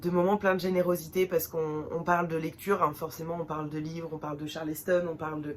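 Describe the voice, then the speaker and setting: Over noticeable background noise, a woman talks at a moderate pace in a fairly low, flat, monotone voice. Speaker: book vlogger. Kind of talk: casual vlog talk. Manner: hesitant, many fillers.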